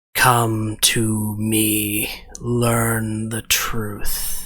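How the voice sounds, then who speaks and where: The speaker uses a put-on character voice with a low pitch. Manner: eerie, beckoning.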